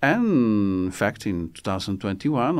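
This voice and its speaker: The speaker has an Italian accent, lively intonation and a moderate pace. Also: man. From Italy. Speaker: military attaché. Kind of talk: interview. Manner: halting.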